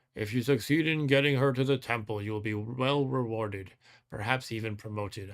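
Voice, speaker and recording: In a very clean recording with a silent background, a man does a growling put-on character voice at a medium pitch and a fairly quick pace. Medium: actual play. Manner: growling, commanding.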